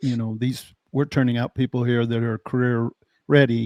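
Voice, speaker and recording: A man's ordinary speaking voice with an American accent, medium in pitch and moderate in pace, in a dry, close sound with no echo over a quiet background. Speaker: podcast host. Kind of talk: podcast host talking with guest.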